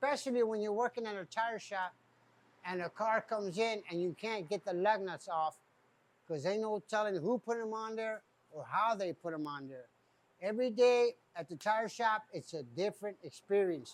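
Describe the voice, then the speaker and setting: A man at a high pitch, moderate pace and ordinary pitch variation. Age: 60s. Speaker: tire shop owner. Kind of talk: casual talk to camera.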